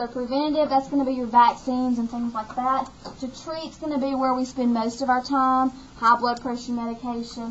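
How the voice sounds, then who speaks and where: A woman in an Alabama accent, high-pitched, at a fairly quick pace with big swings in loudness. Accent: Southern US (Alabama). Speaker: nursing instructor. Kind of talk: lecture.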